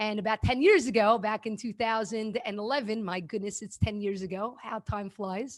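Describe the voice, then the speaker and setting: A woman with a New York accent, fairly high pitch, ordinary pitch variation, and a fairly quick pace. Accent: New York American. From New York City (Brooklyn). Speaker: kindness activist and former teacher. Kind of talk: interview conversation.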